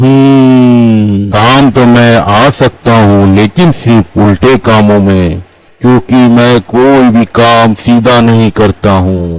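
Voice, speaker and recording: Putting on a cartoonish character voice, a man talks at a very slow pace with hardly any pauses in a medium pitch. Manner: laughing, grand.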